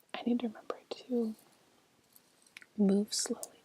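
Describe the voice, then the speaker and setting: This soft-spoken voice moves along at a moderate pace. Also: woman. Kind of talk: ASMR makeup rummaging video.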